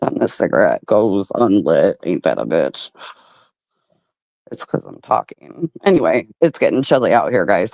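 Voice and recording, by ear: A raspy, put-on character voice moves at a moderate pace with big swings in loudness. The sound is dry and close, with no echo. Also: man.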